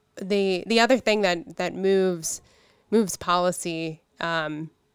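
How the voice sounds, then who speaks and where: A woman with an American accent has a normal speaking voice, pitched fairly low. She talks at a moderate pace with ordinary pitch variation. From Pittsburgh, Pennsylvania. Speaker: state legislator. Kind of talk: interview.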